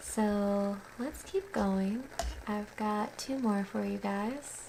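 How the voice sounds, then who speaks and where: A woman speaks in a soothing tone over noticeable background noise. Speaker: poet and writer. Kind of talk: casual talk to camera between poems. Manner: soothing, relaxing, slow.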